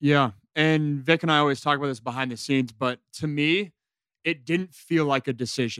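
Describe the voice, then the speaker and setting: A man's fairly high voice, a normal speaking voice with ordinary pitch variation at a moderate pace, dry and close with no echo. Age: 20s. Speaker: former college football quarterback. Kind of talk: casual chat.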